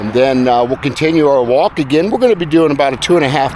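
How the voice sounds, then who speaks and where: A man talks. Noticeable background noise runs throughout. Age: 70s. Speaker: retiree giving senior lifestyle advice. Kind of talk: casual talk to camera while walking. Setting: outdoors.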